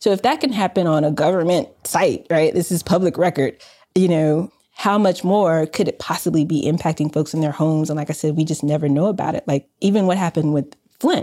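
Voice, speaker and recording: Fairly quick, dark and mellow speech from a woman with an American accent and a fairly low voice, on a very clean recording with a silent background. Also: ordinary pitch variation. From US South, Southwest Atlanta. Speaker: company founder and data scientist. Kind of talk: interview.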